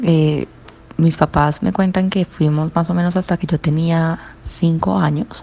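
A woman with a Cali accent speaks in a fairly low pitch, her tone dark and mellow and somewhat breathy. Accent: Caleño Colombian Spanish. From Colombia, Cali. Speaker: interviewee sharing memories. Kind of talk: personal recollection.

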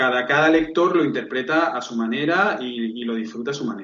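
This man has an unremarkable speaking voice with ordinary pitch variation. He talks at a moderate pace. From Spain, Seville. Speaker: book publisher. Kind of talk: interview.

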